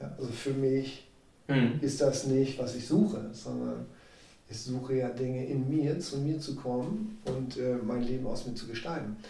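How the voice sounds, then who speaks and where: A man speaks fairly slowly at a medium pitch, his tone dark, mellow and somewhat breathy. His pitch varies in an ordinary way, and audible room echo surrounds the voice. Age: 40s. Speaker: sales and life coach. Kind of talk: interview.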